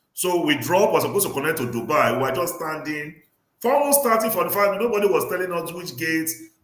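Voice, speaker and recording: A man talks at a very fast pace and a high pitch with lively intonation. Audible room echo surrounds the voice. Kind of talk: livestream discussion. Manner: animated.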